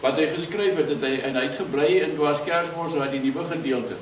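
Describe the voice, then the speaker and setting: Light background noise and audible room echo accompany this man's speech. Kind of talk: oral history interview answer. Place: home room.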